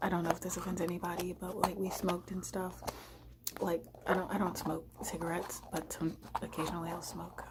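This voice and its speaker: Soft-spoken and at a moderate pace, a woman talks over noticeable background noise. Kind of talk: ASMR storytime while eating. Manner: soft-spoken, casual.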